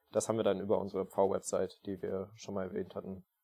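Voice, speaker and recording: In a dark, mellow tone, this man rattles off his words very fast. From Saxony, Leipzig. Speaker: scout volunteer. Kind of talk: podcast interview.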